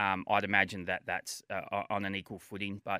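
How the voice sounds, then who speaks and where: A man with an Australian accent has a bright, sharp tone in a very clean recording with a silent background and a dry, close sound with no echo. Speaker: former cricketer and coach. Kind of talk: casual chat. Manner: hesitant with many fillers and repetitions.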